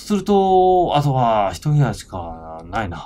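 Very wide pitch swings mark a man's speech at a fairly slow pace. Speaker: comedian and game streamer. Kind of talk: casual game let's play with script reading.

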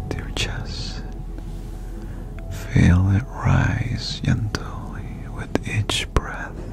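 Whispering with long, frequent pauses, a man speaks at a very slow pace over music in the background. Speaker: ASMR creator. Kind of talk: guided meditation. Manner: soft-spoken. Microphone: studio mic.

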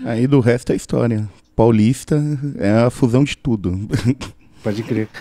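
At a fairly slow pace, a man talks in a medium pitch with fairly even intonation and long, frequent pauses. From Brazil, São Paulo. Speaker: podcaster. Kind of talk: casual chat.

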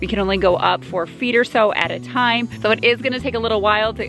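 A woman talks at a fairly quick pace with ordinary pitch variation. The sound is dry with no echo, and faint music plays in the background. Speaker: DIY home builder vlogger. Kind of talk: casual vlog chat. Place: open country. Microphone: phone near.

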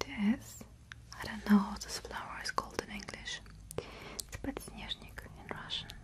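Very slowly, a woman speaks in a whisper. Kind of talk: soft role-play talk to the viewer. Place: home room.

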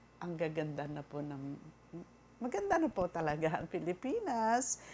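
Over noticeable background noise, a woman speaks in a fairly low voice. Her pitch swings very widely. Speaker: vlogger. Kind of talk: casual monologue. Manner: halting.

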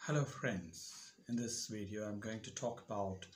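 A man with a fairly low pitch sounds somewhat breathy over light background noise. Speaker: educator giving advice. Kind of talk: tutorial. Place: home room. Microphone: lapel.

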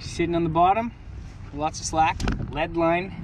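Over clear background noise, a man speaks fairly slowly at a fairly high pitch with fairly even intonation.

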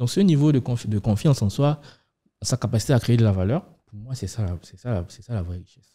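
Over a quiet background, a man with a dark, mellow, somewhat breathy voice talks at a fairly quick pace with big swings in loudness. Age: 30s. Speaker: fintech startup co-founder; podcast guest. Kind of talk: podcast interview. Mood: calm, reflective. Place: studio. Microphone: studio mic.

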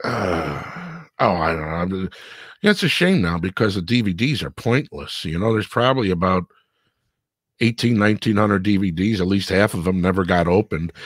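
With a Chicago accent, a man with a very deep, low pitch speaks in an animated tone at a moderate pace with ordinary pitch variation, the sound dry with no echo and the background quiet. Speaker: radio producer and show host. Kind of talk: casual interview chat. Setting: live online show. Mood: wistful, casual. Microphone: video call.

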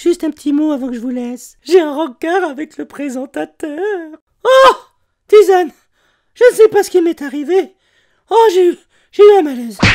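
A cartoonish character voice at extremely high pitch, broken by long, frequent pauses. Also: moderate pace, very clean recording, silent background. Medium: puppet. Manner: excited, flustered.

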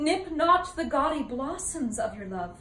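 A woman's voice is heard with audible room echo. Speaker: actor performing a classical role. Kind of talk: dramatic monologue. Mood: earnest, sorrowful. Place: home room. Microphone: camera far.

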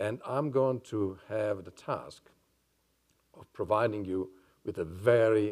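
A man speaks at a moderate pace with vocal fry against a quiet background. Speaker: neuroscientist and psychiatrist. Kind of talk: lecture. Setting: stage with audience. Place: hall.

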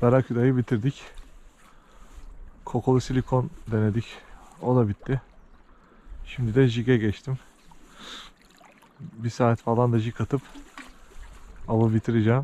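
A man speaks at a moderate pace in a monotone, flat intonation, with long, frequent pauses. His tone is dark and mellow, and the sound is dry with no echo. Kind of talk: casual vlog chat. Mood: calm, content. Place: waterside. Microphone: phone near.

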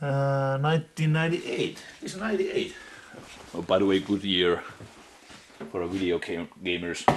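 A man with a Finnish accent speaks at a very slow pace, his pitch swinging very widely, with long, frequent pauses over light background noise. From Finland. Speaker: urban explorer vlogger. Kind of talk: casual solo vlog narration. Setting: outdoors, exploring abandoned building. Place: home room. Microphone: phone near.

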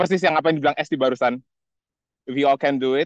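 A man's fairly high voice, very fast, in a dry, close sound with no echo. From Indonesia. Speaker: scholarship alumnus. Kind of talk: casual greeting message. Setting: outdoors video call. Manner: animated.

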